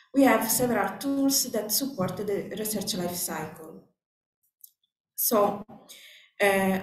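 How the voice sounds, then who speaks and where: The speaker has a non-native accent and talks at a very slow pace with ordinary pitch variation. Room echo is audible. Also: woman. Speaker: conference speaker. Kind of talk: conference presentation. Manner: hesitant, many fillers.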